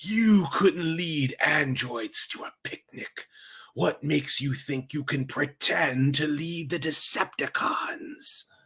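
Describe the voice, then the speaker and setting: A man does a put-on character voice at a fairly high pitch. He speaks at a fairly slow pace. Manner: menacing, scornful.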